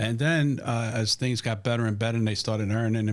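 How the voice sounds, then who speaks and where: Recorded very cleanly against a silent background, a man speaks at medium pitch with a New York accent. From New York, Brooklyn (Williamsburg). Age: 60s. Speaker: restaurant family member and food company salesman. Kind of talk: casual interview chat.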